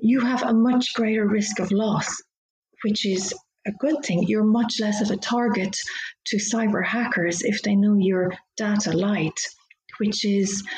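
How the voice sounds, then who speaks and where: A woman with a Dublin accent, fairly high pitch, very even loudness and long, frequent pauses. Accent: Irish (Dublin). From Ireland, Dublin. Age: middle-aged. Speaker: lawyer. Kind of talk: interview. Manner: animated.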